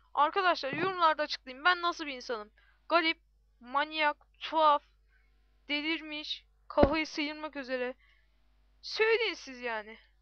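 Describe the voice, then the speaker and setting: A woman with a high pitch and ordinary pitch variation talks with big swings in loudness against noticeable background noise. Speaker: gaming YouTuber. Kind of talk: gameplay commentary. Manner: animated.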